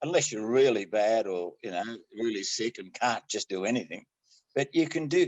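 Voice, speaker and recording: A man with an Australian accent, very wide pitch swings and a moderate pace. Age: 80s+. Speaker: amateur triathlete. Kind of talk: interview answer. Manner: casual, good-humoured.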